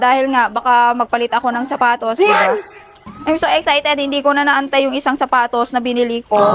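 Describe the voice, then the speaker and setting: A woman speaks at a high pitch in an animated tone and a fairly quick pace. Noticeable background noise runs underneath. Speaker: vlogger. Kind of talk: casual vlog. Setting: outdoors travelling.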